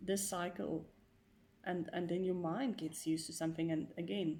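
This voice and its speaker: Using vocal fry, a woman speaks at a moderate pace with a fairly low pitch and fairly even intonation. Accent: non-native. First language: not English. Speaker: vlogger sharing personal experience. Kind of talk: personal monologue vlog. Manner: hesitant, many fillers.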